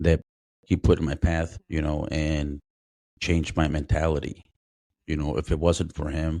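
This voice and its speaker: A man with a very deep, low voice and a dark, mellow tone. He talks at a moderate pace with long, frequent pauses, and the sound is dry and close with no echo. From immigrant who grew up in the US, first language not English. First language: not English. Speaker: former Marine, homicide detective. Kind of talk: podcast interview, life story. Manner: casual, hesitant with fillers.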